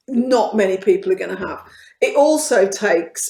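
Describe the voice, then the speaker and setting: The speaker is a woman. She talks in a Birmingham accent. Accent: Birmingham (Brummie). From Birmingham, England. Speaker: author. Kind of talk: casual conversation.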